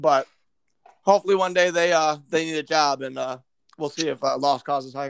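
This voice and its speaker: This man talks at a fairly quick pace with a Midwestern American accent, a fairly high pitch, fairly even intonation and big swings in loudness. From Michigan. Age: 20s. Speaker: podcast host. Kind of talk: casual chat.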